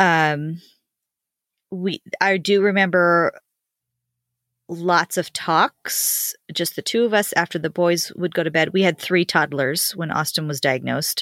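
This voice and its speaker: Dry and close with no echo, a woman's plain, everyday voice comes at a fairly slow pace and a fairly low pitch. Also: ordinary pitch variation. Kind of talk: casual chat.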